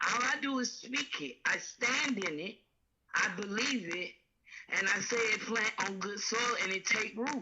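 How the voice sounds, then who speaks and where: Using an ordinary speaking voice, a woman speaks at a fairly slow pace with a fairly high pitch and ordinary pitch variation. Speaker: caller. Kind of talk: phone-in conversation.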